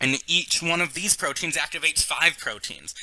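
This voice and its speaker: A man speaks fairly quickly as noticeable background noise runs underneath. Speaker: biology teacher. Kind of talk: lecture.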